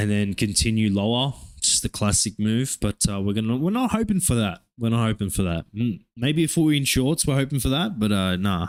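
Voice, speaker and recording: With an Australian accent, the speaker talks at a fairly quick pace in an animated tone with lively intonation, very even loudness and hardly any pauses, on a very clean recording with a silent background. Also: man, medium pitch for a man. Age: 20s. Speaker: day trader streamer. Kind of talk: live trading stream commentary. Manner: casual, animated.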